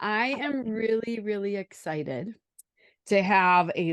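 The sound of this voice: A woman with a Wisconsin accent, ordinary pitch variation, and a dry, close sound with no echo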